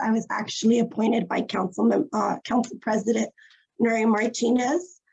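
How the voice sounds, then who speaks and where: Her voice sits fairly high for a woman and is somewhat breathy, and the woman keeps her intonation fairly even. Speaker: city climate commissioner. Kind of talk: virtual panel remarks.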